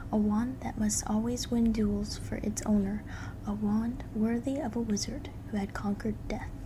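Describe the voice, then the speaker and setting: Soft-spoken, the voice is heard over noticeable background noise. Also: moderate pace. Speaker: ASMR creator. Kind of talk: bedtime story reading.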